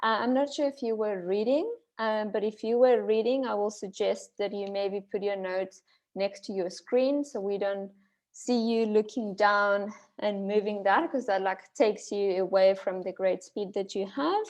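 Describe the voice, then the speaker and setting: A woman speaks at a medium pitch with a non-native accent. Her pitch varies in an ordinary way. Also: moderate pace. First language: not English. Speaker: speech evaluator. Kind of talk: speech evaluation. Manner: halting.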